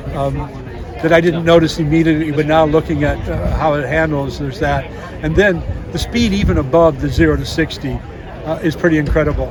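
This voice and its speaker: Noticeable background noise and audible room echo fill the space as a man talks fairly quickly. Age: 70s. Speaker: vehicle owner. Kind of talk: casual interview. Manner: halting, many fillers.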